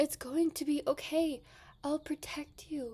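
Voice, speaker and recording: A woman whispers in a put-on character voice. She is soft-spoken and goes at a fairly slow pace. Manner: whispering, soft, reassuring.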